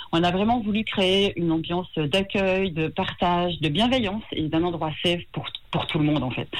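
In an ordinary speaking voice, a woman with a fairly low pitch talks at a moderate pace with ordinary pitch variation and hardly any pauses. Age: 50s. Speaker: tattoo artist. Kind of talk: radio phone interview. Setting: phone call.

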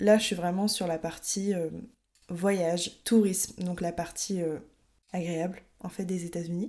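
Speaking at a fairly slow pace, a woman has a medium pitch and a dark, mellow tone. Her intonation stays fairly even. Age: 20s. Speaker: podcast host. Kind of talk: solo podcast monologue. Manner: casual, some hesitations.

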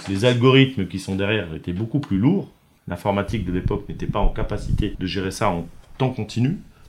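Pitched fairly low, a man talks fairly quickly, his pitch varying in an ordinary way. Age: 50s. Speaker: company founder and president. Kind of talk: interview. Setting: factory. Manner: halting, many fillers.

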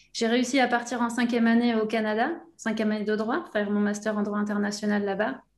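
Very fast speech comes from a woman with a fairly high pitch. Her intonation is fairly even and her loudness very even. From southwest France (Aquitaine, between Bordeaux and the Basque Country). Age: 30s. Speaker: language coach for football players. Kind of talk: interview.

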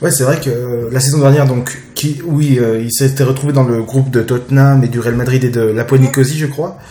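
The speech is monotone and flat, at a moderate pace with hardly any pauses. Background noise is noticeable. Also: man, medium pitch for a man. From France, Jura. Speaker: football podcast host. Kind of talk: casual chat. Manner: halting.

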